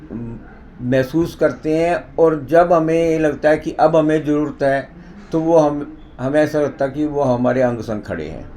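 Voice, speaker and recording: Fairly even in intonation, a man talks in a normal speaking voice at a fairly high pitch. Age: 60s. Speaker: president of a yoga society. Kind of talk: interview testimony.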